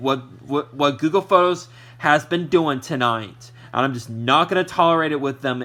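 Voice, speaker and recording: Loud shouting comes at a moderate pace in a bright, sharp tone. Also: man. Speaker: YouTuber, VHS collector. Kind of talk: vlog rant. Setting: at home, TV on. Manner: halting, repetitive.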